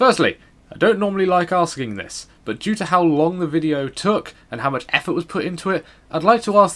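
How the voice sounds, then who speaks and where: Lively intonation in a British accent at a fairly quick pace, on a very clean recording with a silent background. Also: man. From Britain. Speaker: gaming YouTuber. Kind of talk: scripted voice-over narration. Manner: quiet, subdued in early segments.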